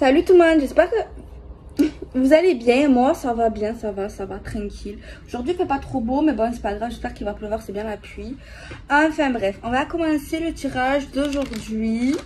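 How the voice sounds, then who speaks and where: With noticeable background noise, a woman speaks at a moderate pace in a high voice, her pitch varying in an ordinary way and her loudness swinging widely. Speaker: tarot card reader. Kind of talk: tarot reading video monologue. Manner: soft-spoken; hesitant, many fillers.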